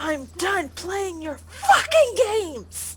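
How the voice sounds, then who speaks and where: A woman shouts in a put-on character voice at an extremely high pitch and a very slow pace, over loud background noise. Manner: very angry, shouting.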